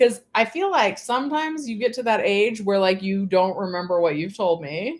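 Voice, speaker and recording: Here is a woman with an unremarkable speaking voice and a medium pitch. She talks at a moderate pace with lively intonation. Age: 40s. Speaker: YouTuber. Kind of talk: casual chat. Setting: at home.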